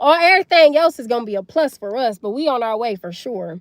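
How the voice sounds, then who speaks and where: In a dry, close sound with no echo, a woman speaks at a moderate pace in an animated tone with very wide pitch swings. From US South. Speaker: livestreamer. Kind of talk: live stream chat. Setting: livestream. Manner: loud.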